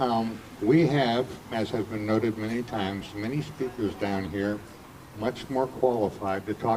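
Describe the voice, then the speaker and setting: A man with an American accent and a fairly low pitch speaks at a fairly slow pace with ordinary pitch variation, amid noticeable background noise. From US Midwest, Omaha, Nebraska. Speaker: progressive activist. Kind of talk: rally speech. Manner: shaky.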